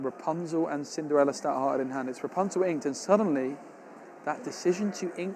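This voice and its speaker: A man with an English accent at a moderate pace, ordinary pitch variation, and noticeable background noise. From England. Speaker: tournament caster. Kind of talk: live commentary. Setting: live stream at tournament. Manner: animated.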